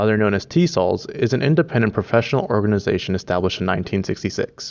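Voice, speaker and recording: With a Spanish accent, a man speaks at a fairly low pitch. His intonation is lively and his pace very fast. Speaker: student documentary maker. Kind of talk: scripted narration.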